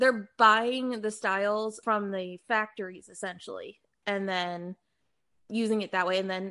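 A woman's medium-pitched voice with an American accent, fairly even intonation and a bright, sharp tone. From US Northeast, Philadelphia. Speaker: full-time reseller, former fashion corporate employee. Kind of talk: casual interview.

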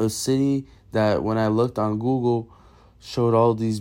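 The voice has a dark, mellow tone and an American accent, with fairly even intonation. It moves at a moderate pace over a quiet background. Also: man. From Massachusetts and Brazil. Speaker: storyteller. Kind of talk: personal story reading.

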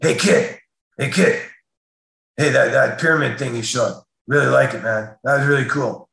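A man does a put-on character voice, raspy and gruff, at a fairly high pitch and moderate pace. Long, frequent pauses break it up, with a slight echo.

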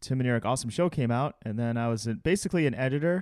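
In a normal speaking voice with ordinary pitch variation, the talker moves at a fairly quick pace, the sound dry and close with no echo. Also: man. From Chicago. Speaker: comedy video editor and director. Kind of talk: casual chat.

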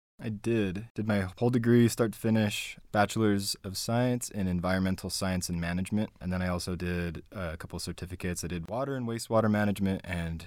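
In a Utah accent, a man with a very deep, low pitch talks at a fairly quick pace with ordinary pitch variation on a very clean recording with a silent background. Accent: Utah American. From Utah (Spanish Fork and Payson). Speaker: community activist and organizer. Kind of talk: interview.

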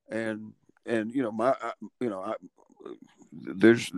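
A man with a Southern US accent in a dry, close sound with no echo. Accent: Southern US (Georgia). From US South, Georgia (Dalton). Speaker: college basketball coach. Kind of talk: interview.

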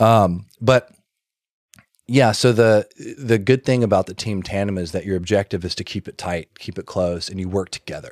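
A man's ordinary speaking voice with an American accent, fairly low in pitch with ordinary pitch variation, at a moderate pace in a dry, close sound with no echo. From US South, Alabama (Birmingham). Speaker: car parts business owner. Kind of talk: casual chat.

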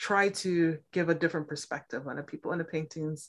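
A woman's very deep, low voice with an American accent, at a moderate pace and ordinary pitch variation, on a very clean recording with a silent background. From Milwaukee, Wisconsin, US Midwest. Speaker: poet and writing teacher. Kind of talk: casual interview.

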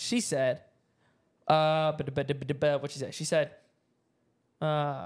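In a very clean recording with a silent background, a man with an American accent and a fairly high pitch talks at a moderate pace. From US South. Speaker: podcast co-host. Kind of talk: casual solo chat to camera.

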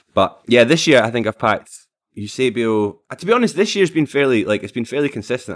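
A man with a Scottish accent and lively intonation, talking at a very fast pace, on a very clean recording with a silent background. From Scotland, Falkirk. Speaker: streamer. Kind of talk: casual chat.

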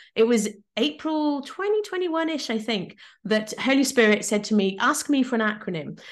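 A woman speaks with an English accent. Her intonation is lively. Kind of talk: interview.

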